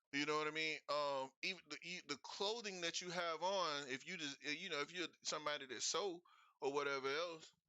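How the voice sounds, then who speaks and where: A man's fairly high-pitched voice moves fairly quickly, varying in pitch in an ordinary way. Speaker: investing show host. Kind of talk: livestream talk. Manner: fast.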